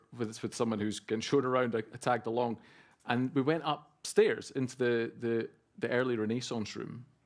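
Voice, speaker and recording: A man with a Scottish accent talks at a moderate pace with medium pitch and ordinary pitch variation, on a very clean recording with a silent background. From Scotland. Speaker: photographer. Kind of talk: public talk. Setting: gallery event with audience.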